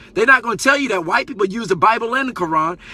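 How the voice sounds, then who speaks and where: A man with a high voice talks very fast, raised and projected, animated and lively in intonation. Noticeable background noise sits behind him. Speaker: Facebook live streamer and community teacher. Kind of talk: live stream monologue. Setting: live broadcast on Facebook.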